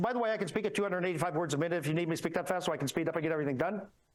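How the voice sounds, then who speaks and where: Through noticeable background noise and audible room echo, a man speaks in a high voice with ordinary pitch variation. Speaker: structural engineer. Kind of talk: conference talk. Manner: fast.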